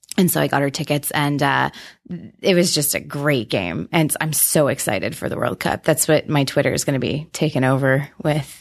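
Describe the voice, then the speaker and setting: Against a quiet background, a woman with an Ontario accent speaks at a moderate pace, her very deep, low pitch showing vocal fry and ordinary pitch variation. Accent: Canadian (Ontario). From southwestern Ontario, Canada. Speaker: challenge team leader. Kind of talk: casual chat. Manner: laughs often, hesitant with many ums.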